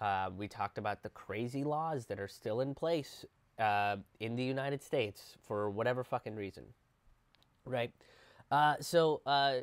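A man at a moderate pace, with long, frequent pauses, ordinary pitch variation and a quiet background. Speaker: comedian commentator. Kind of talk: casual commentary. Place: home room. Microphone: earbuds.

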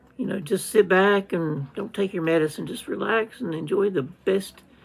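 A man's somewhat breathy voice at a moderate pace, with lively intonation. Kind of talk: casual vlog chat. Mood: weary but determined. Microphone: phone near.

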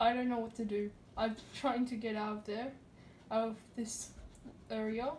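Mumbling at a moderate pace, a woman with a fairly high pitch keeps a monotone, flat intonation over light background noise. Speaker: gamer showing a glitch. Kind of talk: casual gameplay commentary. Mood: puzzled, mildly alarmed. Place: home room. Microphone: phone near.

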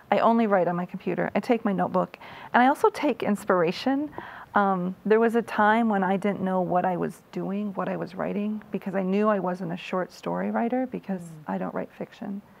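A woman with an American accent, at a fairly quick pace, with ordinary pitch variation. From US Midwest, Iowa. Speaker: author; interviewee. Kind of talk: interview. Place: studio. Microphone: lapel.

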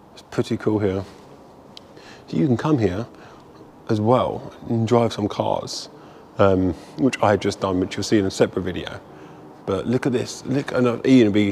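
A man's fairly low voice at a moderate pace, with ordinary pitch variation, long and frequent pauses and light background noise. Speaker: museum visitor vlogger. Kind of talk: casual vlog chat. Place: hall. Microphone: phone near.

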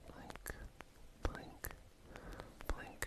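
A woman talking at a fairly slow pace over loud background noise. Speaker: ASMR creator. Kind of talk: ASMR personal attention role play. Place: home room. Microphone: studio mic.

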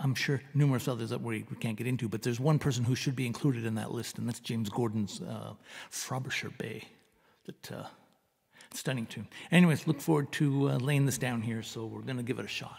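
A man speaks at a fairly quick pace with vocal fry and ordinary pitch variation. The background is quiet. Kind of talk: casual song introduction. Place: home room. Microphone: studio mic.

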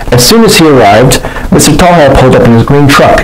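With lively intonation, a man talks at a medium pitch and a fairly quick pace. Clear background noise sits behind him.

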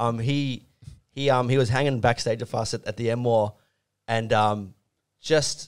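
Against a quiet background, a man with an Australian accent speaks with fairly even intonation. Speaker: rock band musician; podcast guest. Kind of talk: casual chat. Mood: relaxed, amused anecdote. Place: studio. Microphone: studio mic.

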